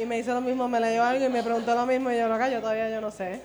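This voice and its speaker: High-pitched and in a Puerto Rican accent, a woman speaks with monotone, flat intonation amid audible room echo. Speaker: guest performer. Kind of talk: casual chat.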